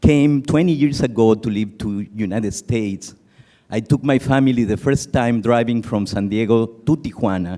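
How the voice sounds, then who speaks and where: In a Mexican accent, a man talks at a moderate pace with ordinary pitch variation. His voice sits at a medium pitch and has a dark, mellow tone. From Mexico. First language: Spanish. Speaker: conference audience member. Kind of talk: audience comment at conference. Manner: emotional, earnest.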